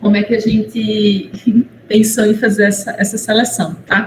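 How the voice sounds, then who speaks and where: There is noticeable background noise as a woman speaks. Her voice is fairly high and her pace fairly slow. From Paraíba, northeastern Brazil. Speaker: university professor and moderator. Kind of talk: webinar moderation. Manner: halting.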